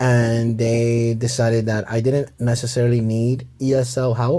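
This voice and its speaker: The recording is very clean, with a silent background. The tone is dark and mellow, with a slight Mexican accent. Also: man. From Mexico City, then Harlem, New York. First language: Spanish. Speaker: bartender. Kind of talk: casual chat.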